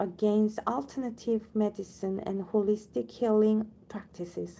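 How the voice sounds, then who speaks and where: With a non-native accent, a woman speaks in a dark, mellow tone at a fairly high pitch. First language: not English. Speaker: audiobook reader, channel owner. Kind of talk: reading aloud; casual chat. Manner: halting, with self-corrections.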